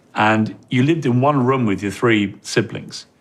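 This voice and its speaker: A man speaks with an English accent. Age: 50s. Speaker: TV interviewer. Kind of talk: interview.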